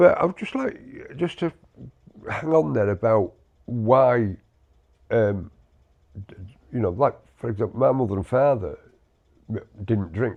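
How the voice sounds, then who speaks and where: A medium-pitched man with a British accent talks at a moderate pace, with lively intonation, big swings in loudness and long, frequent pauses. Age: 60s. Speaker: podcast co-host, army veteran. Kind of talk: casual chat. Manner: halting, many repetitions.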